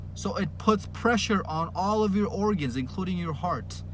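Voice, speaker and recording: A man with a medium pitch speaks at a moderate pace with vocal fry and very wide pitch swings. Audible room echo surrounds his voice. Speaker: dating coach vlogger. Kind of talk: monologue rant to camera. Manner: energetic, yelling at times.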